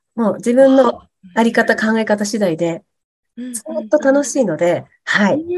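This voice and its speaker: Lively intonation from a woman at a fairly high pitch and a moderate pace. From Hokkaido, Japan. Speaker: temple wife and coaching instructor. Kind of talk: interview. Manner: energetic.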